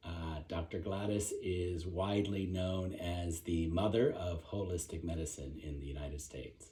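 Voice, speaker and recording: Very deep and low in pitch, a man's somewhat breathy voice with a dark, mellow tone moves at a moderate pace with ordinary pitch variation and hardly any pauses. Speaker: interviewer. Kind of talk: interview introduction.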